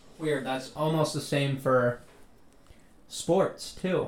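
Music runs in the background while a man talks at a fairly high pitch with fairly even intonation. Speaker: podcast host. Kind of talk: casual banter.

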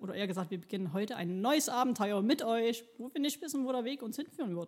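Speaking at a very fast pace, a woman uses a fairly high pitch and lively intonation. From Chemnitz, Saxony, Germany. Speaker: podcast co-host. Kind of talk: casual chat. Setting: recording studio.

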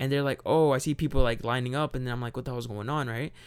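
Recorded very cleanly with a silent background, a man speaks at a medium pitch with fairly even intonation. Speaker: podcast host. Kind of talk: casual chat. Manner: casual, chatty.

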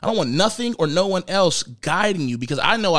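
Lively intonation in an American accent. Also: man. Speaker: podcast host. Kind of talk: casual chat. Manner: casual, conversational.

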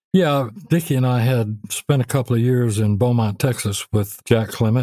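With a Memphis accent and a dark, mellow tone, a man of medium pitch talks at a moderate pace with ordinary pitch variation in a dry, close sound with no echo. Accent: Southern US (Memphis). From US South, Memphis. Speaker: songwriter and record producer. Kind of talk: interview.

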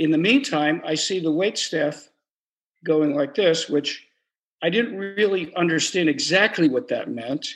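An ordinary speaking voice from a man with an American accent, fairly high in pitch, lively in intonation and fairly slow in pace, against a quiet background. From Trenton, New Jersey. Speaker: storyteller. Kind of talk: personal storytelling. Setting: virtual open mic.

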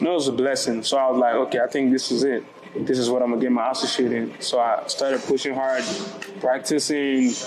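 Over music in the background and with audible room echo, a man talks at a very fast pace with very even loudness and fairly even intonation. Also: medium pitch for a man. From Nigeria, Lagos. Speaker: nightlife business owner. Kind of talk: casual chat. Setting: in a lounge, recorded in person.

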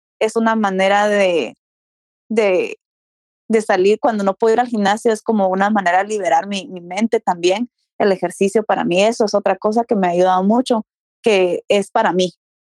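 Heard dry and close with no echo, a woman uses a normal speaking voice at a medium pitch, with fairly even intonation and a moderate pace. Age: 30s. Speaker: fitness enthusiast. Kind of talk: casual interview.

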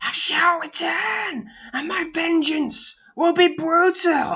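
In a put-on character voice, a man speaks at a very slow pace with an extremely high pitch and a hissing sound. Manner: hissing, menacing, vengeful.

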